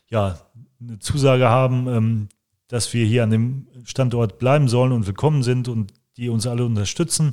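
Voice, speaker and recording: Moving at a moderate tempo, this voice carries a dark, mellow tone and fairly even intonation. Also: man. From Germany, Langenberg (Westphalia). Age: 40s. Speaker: cultural association organizer. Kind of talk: interview. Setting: on location.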